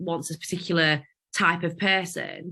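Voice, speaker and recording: A woman with a strong Yorkshire accent speaks at a moderate pace with fairly even intonation. Her tone is bright and sharp against a quiet background. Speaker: podcast co-host. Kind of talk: casual chat.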